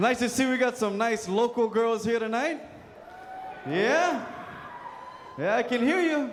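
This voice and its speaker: A man with an extremely high pitch and lively intonation speaks with long, frequent pauses. Noticeable background noise and audible room echo are present. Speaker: comedian and show host. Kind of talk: stand-up. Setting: stage with audience.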